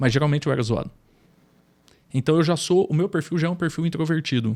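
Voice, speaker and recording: Speaking at a very fast pace, a man holds a fairly high pitch with ordinary pitch variation. His loudness stays very even throughout. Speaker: businessman and trainer. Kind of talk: podcast interview, personal testimony.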